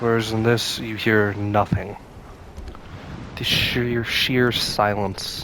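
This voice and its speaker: Speaking very slowly with long, frequent pauses, a man keeps a fairly low, monotone, flat delivery amid noticeable background noise and audible room echo. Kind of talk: gameplay commentary. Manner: whispering.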